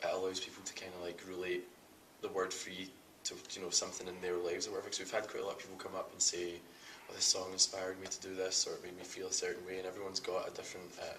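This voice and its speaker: The speech moves at a very fast pace, with audible room echo and noticeable background noise. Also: man. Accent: Scottish. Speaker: rock band singer. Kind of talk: casual interview. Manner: casual, hesitant with fillers.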